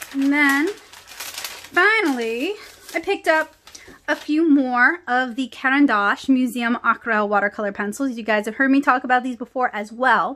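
Projecting a raised voice in an American accent, a woman speaks at a moderate pace with lively intonation and a high pitch. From New Orleans area, US South. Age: 30s. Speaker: comic artist and art supply YouTuber; comic artist, art supply YouTuber. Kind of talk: casual haul video talk to camera. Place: home room.

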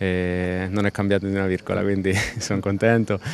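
A man speaks at a fairly low pitch in a flat monotone, the sound dry with no echo and light background noise. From Italy, Abruzzo (Pescara); Abruzzo, Italy. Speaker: professional footballer. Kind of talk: press interview; interview answer. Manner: halting, with repetitions. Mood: relaxed, smiling. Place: open country. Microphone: handheld.

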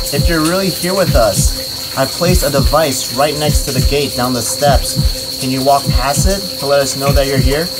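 Loud noise fills the background while a man talks at a moderate speed. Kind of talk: spirit session questions. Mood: tense, hushed. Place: forest. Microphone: camera far.

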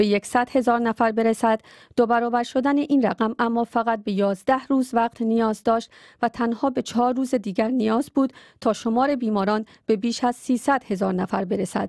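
A woman talks at a moderate pace in a plain, everyday voice, pitched fairly high with fairly even intonation. The sound is dry with no echo, over a quiet background. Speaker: radio newsreader. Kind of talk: news reading. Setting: studio. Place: studio.

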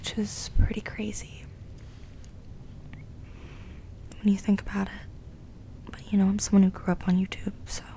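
The pace is fairly slow. A woman whispers throughout. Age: 20s. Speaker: ASMR content creator. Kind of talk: ASMR rambling to camera. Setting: home recording, condenser mic. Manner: whispered, soft-spoken. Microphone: studio mic.

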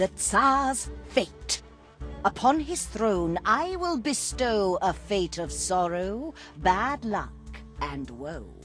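The voice is a put-on character voice at a very slow pace. Clear music plays in the background. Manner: sinister, sing-song rhyming.

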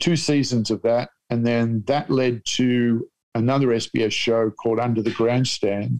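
Dry and close with no echo, a man with an Australian accent talks at a moderate pace and medium pitch, with very even loudness and fairly even intonation. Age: 60s. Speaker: comedian. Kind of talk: casual chat. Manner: deadpan.

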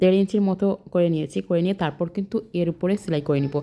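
A woman speaks at a fairly low pitch in a dark, mellow tone with ordinary pitch variation. The recording is very clean, with a silent background. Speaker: sewing vlogger. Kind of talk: tutorial. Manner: halting, pausing mid-sentence.

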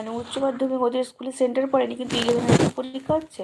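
The speaker is a woman with a high-pitched voice. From West Bengal, Paschim Medinipur. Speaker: village life vlogger. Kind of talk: casual live stream chat.

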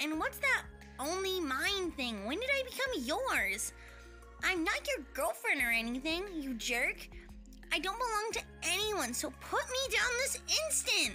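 A put-on character voice, female-sounding and extremely high in pitch, at a moderate pace with clear music in the background. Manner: indignant, protesting.

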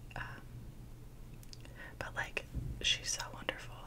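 Noticeable background noise sits behind this recording. A woman talks at a fairly slow pace. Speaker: ASMR creator. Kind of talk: whispered ASMR ramble / story time to camera. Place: home room. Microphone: studio mic.

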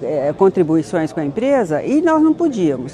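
A woman speaks with an unremarkable speaking voice at a fairly low pitch. Light background noise sits behind her. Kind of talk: interview answer. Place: hall.

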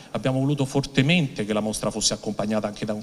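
A man speaks at a medium pitch with ordinary pitch variation. It is an unremarkable speaking voice. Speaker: heritage official. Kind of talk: formal speech. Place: hall. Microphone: podium.

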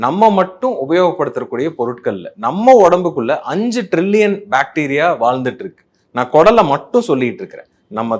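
A man speaks with very wide pitch swings. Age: 40s. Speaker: gastroenterologist. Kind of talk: health explainer talk. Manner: conversational, Tamil-English code-mixing.

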